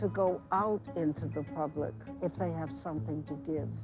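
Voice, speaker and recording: A woman speaks in a New York accent. Music plays in the background. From US Northeast, Brooklyn New York. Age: 90s. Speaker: retired teacher. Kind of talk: interview.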